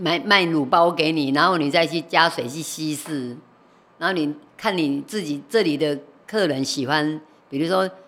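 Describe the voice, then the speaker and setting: A woman talks at a moderate pace. Her voice is very deep and low in pitch for a woman. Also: ordinary pitch variation. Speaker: retired night market food vendor. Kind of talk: casual chat.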